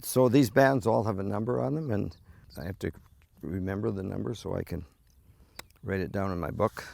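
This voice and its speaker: Speaking fairly quickly with a Canadian accent, a man uses a fairly low pitch, vocal fry, very wide pitch swings and long, frequent pauses. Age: 70s. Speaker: volunteer bird conservationist. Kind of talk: documentary interview. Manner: halting.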